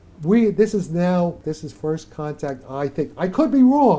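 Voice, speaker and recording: A dark, mellow tone at a fairly slow pace, with very wide pitch swings. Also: man. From New York City. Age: 80s+. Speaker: theoretical physicist. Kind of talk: interview.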